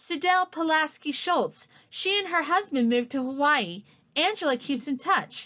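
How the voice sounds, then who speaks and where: Putting on a character voice, a woman speaks at a high pitch with lively intonation and a moderate pace. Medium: read story. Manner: dry, direct.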